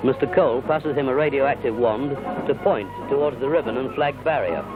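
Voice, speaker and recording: With music in the background, a man speaks at a fairly high pitch and a fairly quick pace, his pitch varying in an ordinary way. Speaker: newsreel narrator. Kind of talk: 1950s newsreel narration.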